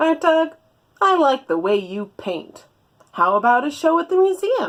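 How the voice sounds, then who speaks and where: A put-on character voice, high-pitched, with very wide pitch swings. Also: moderate pace. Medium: read story.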